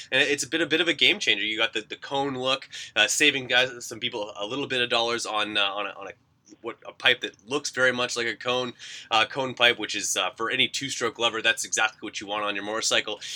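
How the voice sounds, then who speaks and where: In a bright, sharp, upbeat and energetic tone, a man talks at a very fast pace with a medium pitch and ordinary pitch variation, the sound dry and close with no echo. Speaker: radio podcast host. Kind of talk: casual interview with polished radio-style ad reads. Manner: upbeat, energetic, conversational, with fillers.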